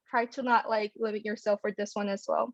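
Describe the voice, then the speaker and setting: The sound is dry and close with no echo as a woman speaks with a Korean accent. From South Korea. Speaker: pharmacy student. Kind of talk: panel talk. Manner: hesitant, many fillers.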